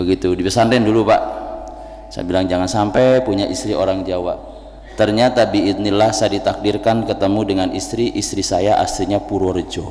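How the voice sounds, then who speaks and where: The man talks at a moderate pace. There is audible room echo along with noticeable background noise. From West Java (Tasikmalaya, Sundanese). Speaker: Islamic preacher. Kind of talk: sermon. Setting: mosque.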